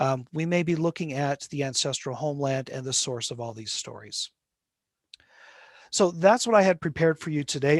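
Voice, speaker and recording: A man with an American accent, a fairly high pitch and ordinary pitch variation, at a fairly quick pace, in a plain, everyday voice. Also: dry, close sound with no echo. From Utah (Salt Lake City). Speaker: linguistics professor. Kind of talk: lecture.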